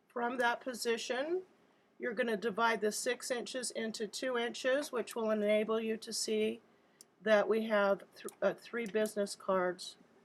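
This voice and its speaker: A woman with an ordinary speaking voice talks at a fairly slow pace, her fairly high pitch showing ordinary variation. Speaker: graphic design instructor. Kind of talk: tutorial.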